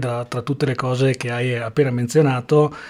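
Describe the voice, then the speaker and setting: A man speaks in an ordinary speaking voice at a moderate pace. His intonation stays fairly even. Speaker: podcast host and interviewer. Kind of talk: interview.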